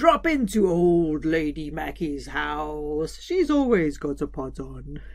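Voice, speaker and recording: Using a put-on character voice, a woman speaks at a very deep, low pitch with big swings in loudness. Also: fairly slow pace. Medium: read story. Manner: gentle, warm.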